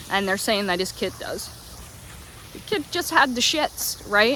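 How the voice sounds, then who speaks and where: Noticeable background noise sits behind a woman with a fairly high pitch. She speaks in an animated tone at a moderate pace. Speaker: vlogger. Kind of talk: casual vlog monologue. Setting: outdoors on a walk.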